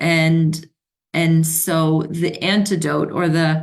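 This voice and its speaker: A woman is speaking. Her pitch sits fairly low. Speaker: spiritual teacher and mentor. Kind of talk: livestream talk on mythology. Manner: hesitant, many fillers.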